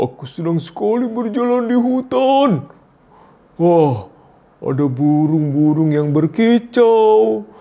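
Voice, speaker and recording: Putting on a character voice, a man speaks at a very slow pace with very wide pitch swings. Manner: cheerful, playful, storytelling.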